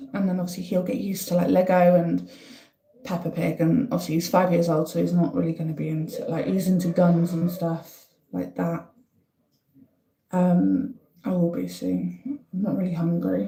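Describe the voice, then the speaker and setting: A woman with a northeast English accent speaks at a moderate pace. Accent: north-east English (Durham). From northern England, County Durham. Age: 30s. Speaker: livestreamer. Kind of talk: casual live-stream chat.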